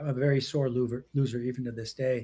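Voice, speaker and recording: A man speaks at a very fast pace with medium pitch. His voice is somewhat breathy, with a dark, mellow tone. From Western Canada. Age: 60s. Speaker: entrepreneur and executive coach. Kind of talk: interview.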